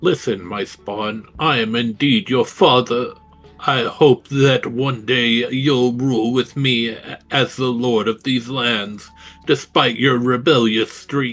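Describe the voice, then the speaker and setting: Putting on a character voice, a man at medium pitch speaks at a fairly slow pace with faint music in the background. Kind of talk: theatrical, mock-noble. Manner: funny, grandiose.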